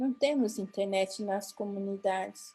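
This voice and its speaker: In a Paraguayan accent, the voice has a dark, mellow tone and ordinary pitch variation. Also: woman. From Mato Grosso do Sul, Brazil (Guarani Kaiowá). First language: Guarani (speaking Portuguese). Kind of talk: conference talk. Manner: halting, with false starts.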